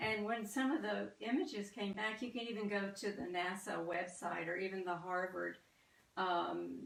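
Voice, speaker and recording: A woman with a slight Southern US accent and some vocal fry speaks at a medium pitch and a fairly slow pace. Her pitch varies in an ordinary way, and audible room echo surrounds her. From US South. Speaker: artist. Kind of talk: artist talk. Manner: halting, many fillers.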